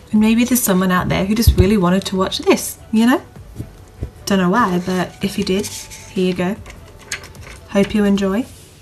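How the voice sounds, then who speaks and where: Over music in the background, a woman speaks at a moderate pace with medium pitch. Her intonation is fairly even, broken by long, frequent pauses. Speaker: beauty vlogger. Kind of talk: makeup tutorial chat. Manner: stutters when naming products.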